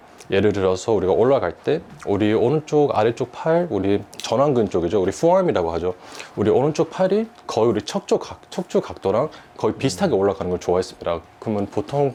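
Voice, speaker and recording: Fairly quick, lively speech from a man at a fairly low pitch, over noticeable background noise. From United States. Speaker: golf instructor. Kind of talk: golf lesson explanation. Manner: formal.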